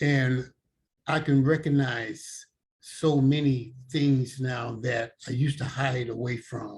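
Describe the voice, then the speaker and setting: A man's voice comes through somewhat breathy, his intonation fairly even. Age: 70s. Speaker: person in recovery sharing experience. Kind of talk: testimony. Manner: halting, with repetitions and fillers.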